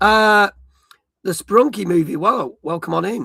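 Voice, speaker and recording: A man's raised, projected voice, high in pitch, with a bright, sharp tone and lively intonation. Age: middle-aged. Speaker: gaming streamer and show host. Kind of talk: casual live-stream chat. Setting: live stream.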